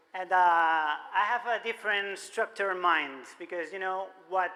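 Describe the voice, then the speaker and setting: A man projects his high-pitched voice at a fairly slow pace. Audible room echo surrounds it. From Spain, Barcelona. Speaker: musician and marketing speaker. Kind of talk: conference keynote talk. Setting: stage with audience. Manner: animated.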